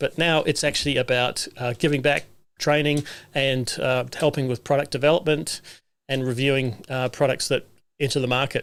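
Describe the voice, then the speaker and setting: A man speaks with a New Zealand accent at a moderate pace. His pitch is fairly high. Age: 60s. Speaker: solar technician and livestream host. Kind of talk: livestream monologue. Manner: casual, with many fillers.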